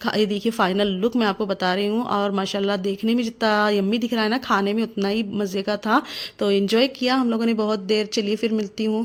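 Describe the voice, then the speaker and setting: A woman speaks over noticeable background noise. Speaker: housewife and mother vlogger. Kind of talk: casual vlog talk to camera.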